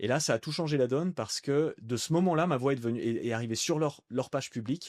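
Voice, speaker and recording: Over a quiet background, a man with a fairly high pitch races along at a very fast pace in a dry, close sound with no echo. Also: ordinary pitch variation. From France, Annecy. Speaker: voice-over artist and entrepreneur. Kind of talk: casual podcast interview. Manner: animated.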